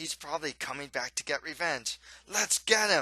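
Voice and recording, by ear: Using a put-on character voice, a man speaks at a fairly high pitch with a bright, sharp tone and lively intonation. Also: moderate pace.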